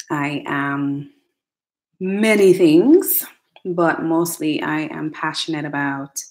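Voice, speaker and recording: This woman has a Jamaican accent. She talks at a very slow pace. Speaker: educational technologist. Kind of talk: casual vlog monologue. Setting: home attic, livestream.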